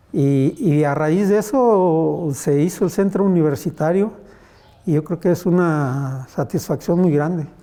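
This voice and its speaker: Keeping his loudness very even, a man speaks at a fairly slow pace in a dark, mellow tone with a high pitch and ordinary pitch variation. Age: 70s. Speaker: artisan and former politician. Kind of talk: interview. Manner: casual, with frequent repetitions.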